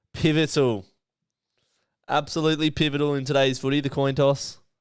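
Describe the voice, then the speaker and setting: A man with an Australian accent speaks at medium pitch and a moderate pace. The recording is very clean, with a silent background. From Western Australia, Perth. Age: 20s. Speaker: streamer and sports commentator. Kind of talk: live commentary. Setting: live stream watchalong. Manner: animated.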